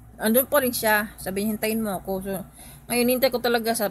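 A somewhat breathy woman at a very fast pace, fairly even intonation, light background noise and a dry sound with no echo. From Philippines. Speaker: vlogger. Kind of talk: vlog storytelling. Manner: halting, many fillers. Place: home room. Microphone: phone near.

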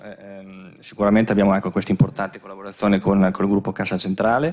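Against a quiet background, the speech comes at a fairly quick pace with fairly even intonation. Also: man. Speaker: business consultant; conference presenter. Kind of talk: conference presentation. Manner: halting, many fillers. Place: hall. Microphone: podium.

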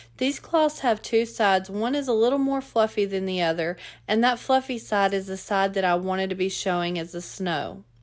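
On a very clean recording with a silent background, a woman of medium pitch talks at a moderate pace with lively intonation and hardly any pauses. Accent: Southern US. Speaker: DIY crafter and video creator. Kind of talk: tutorial.

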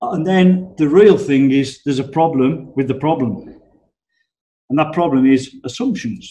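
A man with a fairly high pitch and a dark, mellow, somewhat breathy tone talks fairly slowly with lively intonation. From England. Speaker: business improvement consultant. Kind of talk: webinar presentation. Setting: online webinar. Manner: casual, conversational.

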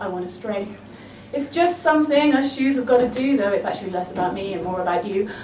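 A woman with an English accent talks at a fairly quick pace with lively intonation, over light background noise and audible room echo. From England. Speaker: poet. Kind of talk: spoken word poem performance, rhythmic rhyming verse with comic punchlines. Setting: live on stage with audience. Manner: animated, playful, wry comic timing with laughs. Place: bar.

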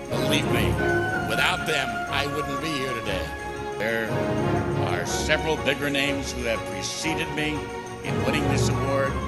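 A man at a moderate pace with long, frequent pauses over loud background music. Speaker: baseball radio play-by-play broadcaster. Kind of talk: award acceptance speech. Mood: grateful, emotional. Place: stage. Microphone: podium.

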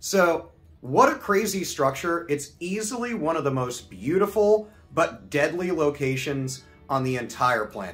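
A man's voice with faint music in the background. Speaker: video host. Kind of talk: educational vlog commentary. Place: home room.

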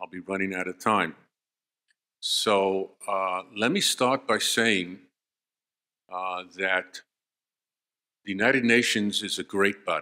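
Against a quiet background, a man speaks in a bright, sharp tone with fairly even intonation. His pace is very slow, with long, frequent pauses. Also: fairly low pitch for a man. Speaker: conference speaker. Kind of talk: lecture. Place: hall. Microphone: podium.

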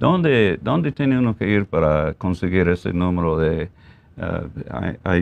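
At a fairly slow pace, a man speaks with a very deep, low pitch. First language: English (speaking Spanish). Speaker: TV show host, deputy sheriff; talk show host. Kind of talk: community TV interview. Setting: TV studio. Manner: halting, many fillers. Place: studio.

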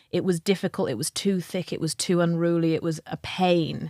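A woman with a normal speaking voice talks at a moderate pace with fairly even intonation in a very clean recording with a silent background. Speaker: podcast co-host, leadership culture consultant. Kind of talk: casual conversation.

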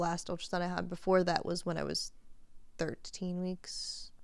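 The woman speaks at a moderate pace. The sound is dry with no echo, and the background is quiet. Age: 30s. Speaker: podcast co-host. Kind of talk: casual chat. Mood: relaxed, chatty. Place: home room. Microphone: studio mic.

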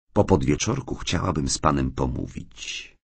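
Vocal fry runs through this man's lively intonation as he speaks at a moderate pace. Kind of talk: audiobook reading, literary narration.

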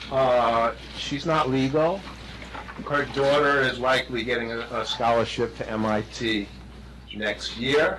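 Against noticeable background noise, a man with a fairly high voice speaks at a fairly slow pace. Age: 60s. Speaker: resident speaking at public comment. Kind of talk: public comment at village board meeting. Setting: village board meeting room. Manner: halting, many fillers and restarts.

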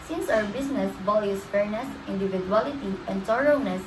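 Noticeable background noise sits behind a woman at medium pitch. She talks at a moderate pace with lively intonation. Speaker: student presenter. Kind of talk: class presentation.

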